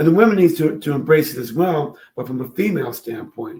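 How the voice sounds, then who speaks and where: Speaking at a fairly quick pace, a man with a fairly high pitch has a dark, mellow tone and a somewhat breathy sound. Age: 70s. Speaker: father and social media creator on fatherhood. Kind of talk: casual interview chat.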